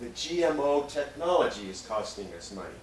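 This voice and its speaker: An American accent is heard with audible room echo. Noticeable background noise runs behind it. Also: man. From US Midwest, northern Minnesota. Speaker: scientist giving a public talk. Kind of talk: public lecture with slides. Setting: community meeting with audience. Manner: slow.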